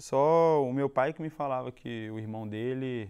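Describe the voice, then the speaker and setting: A man speaks with a Minas Gerais accent. His pitch varies in an ordinary way. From Minas Gerais, Belo Horizonte. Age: young. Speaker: football player. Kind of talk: TV interview.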